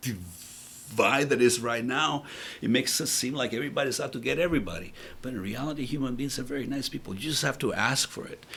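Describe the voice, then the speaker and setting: A man with a Spanish accent at a very fast pace, medium pitch and ordinary pitch variation. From El Salvador. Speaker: business founder. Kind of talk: interview. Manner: halting.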